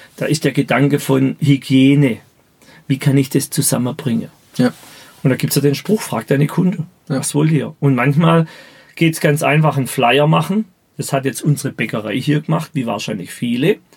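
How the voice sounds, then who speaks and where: This man's voice sits fairly high and is somewhat breathy. He talks at a moderate pace with ordinary pitch variation. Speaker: business mentor. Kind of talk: interview. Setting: podcast studio.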